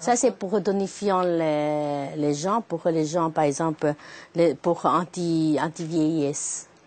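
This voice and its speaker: Speaking at a very slow pace, a woman has a fairly low pitch and a Chinese accent. Her pitch varies in an ordinary way. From China. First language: Chinese (speaking French). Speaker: herbalist shop owner, Chinese medicine doctor. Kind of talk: explanation to interviewer. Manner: halting.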